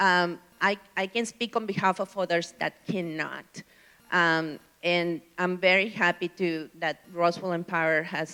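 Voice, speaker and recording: A woman's fairly low voice with a bright, sharp tone and fairly even intonation. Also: fairly slow pace. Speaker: city council candidate. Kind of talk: town hall candidate answer. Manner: soft-spoken.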